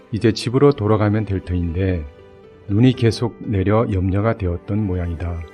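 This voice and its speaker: Music plays in the background as a man talks at a fairly slow pace. His pitch is fairly low, with ordinary pitch variation. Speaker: amateur author reading own life-story essay as audiobook. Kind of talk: audiobook reading of autobiographical essay.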